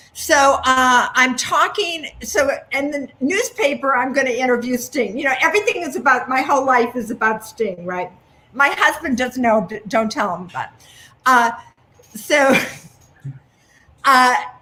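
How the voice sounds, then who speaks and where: A woman's high, raised, projected voice with lively intonation, a fairly slow pace and long, frequent pauses. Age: 70s. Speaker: magazine co-founder. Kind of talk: casual chat.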